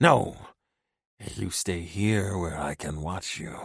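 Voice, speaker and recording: A man's growling, hissing put-on character voice, very deep and low, at a very slow pace. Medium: read story. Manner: hissing, snarling, menacing.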